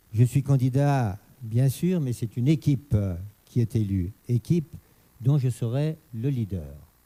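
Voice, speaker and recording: A man speaks at a fairly slow pace in a dark, mellow, somewhat breathy tone with ordinary pitch variation, and the sound is dry and close with no echo. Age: 60s. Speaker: mayor running for reelection. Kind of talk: political debate. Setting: radio studio with live audience.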